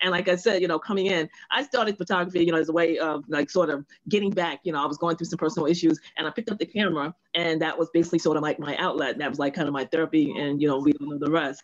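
A woman's fairly low voice at a very fast pace, with ordinary pitch variation and a dry, close sound with no echo. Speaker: audience member. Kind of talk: casual greeting. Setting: video call.

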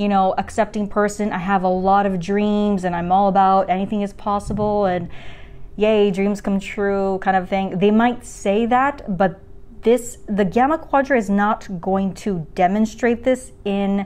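Fairly slow speech from a woman, her pitch varying in an ordinary way. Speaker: personality type video creator. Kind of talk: explainer vlog talk. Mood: lively, amused. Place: home room. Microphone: lapel.

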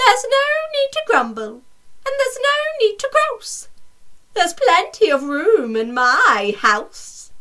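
Putting on a character voice with an extremely high pitch, a woman talks at a fairly slow pace with long, frequent pauses. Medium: read story. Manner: relieved, joyful, grateful.

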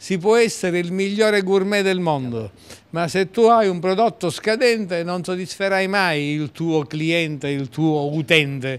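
Speaking at a fairly slow pace, a man uses a high pitch with ordinary pitch variation. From Siracusa, Sicily; Sicily. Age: 60s. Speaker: politician; guest. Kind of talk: casual interview. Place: cafe. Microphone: handheld.

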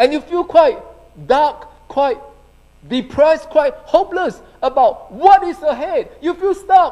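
Against a quiet background, a man speaks at a very slow pace with lively intonation. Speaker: pastor. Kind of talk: sermon. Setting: church. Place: church. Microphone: handheld.

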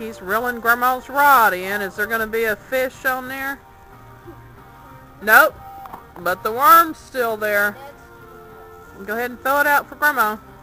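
Faint music plays in the background as a woman with a high pitch talks at a moderate pace with ordinary pitch variation and long, frequent pauses, the sound dry with no echo. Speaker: family member filming. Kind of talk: casual home video narration. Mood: amused, affectionate. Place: waterside. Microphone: phone near.

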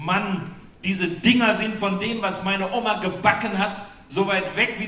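In a room with strong echo, a man speaks at a fairly slow pace with a high pitch, a bright, sharp tone and ordinary pitch variation.

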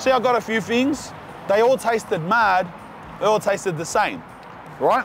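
This man speaks at a high pitch with ordinary pitch variation, in a dry sound with no echo and light background noise. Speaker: food reviewer. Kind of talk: casual food review vlog chat. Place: street. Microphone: lapel.

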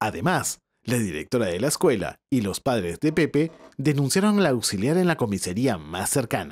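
Calm and gentle in tone, this voice moves at a moderate pace with vocal fry and very wide pitch swings, recorded very cleanly against a silent background. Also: man. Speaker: storyteller. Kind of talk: bedtime story narration. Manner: calm, gentle storyteller pacing.

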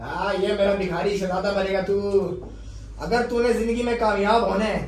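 Fairly slow speech with audible room echo and light background noise. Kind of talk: comic skit dialogue. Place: meeting room. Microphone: camera far.

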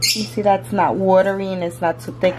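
A woman with a fairly low pitch speaks with lively intonation. Noticeable background noise is present. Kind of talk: cooking tutorial. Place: kitchen. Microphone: phone near.

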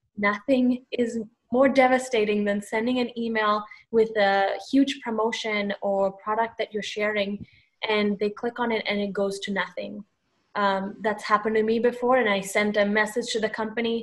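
Fairly high-pitched woman, monotone and flat in intonation, against a quiet background. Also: moderate pace. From Sri Lanka. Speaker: social media strategist; panel expert. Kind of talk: panel discussion on webinar. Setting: video call. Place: home room. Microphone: webcam.

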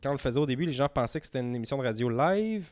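A man speaks very fast in a Quebec accent, at a fairly high pitch. His pitch varies in an ordinary way against a quiet background. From Outaouais, Quebec (Gatineau area). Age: 30s. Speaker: podcast producer. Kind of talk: casual chat. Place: home room. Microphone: handheld.

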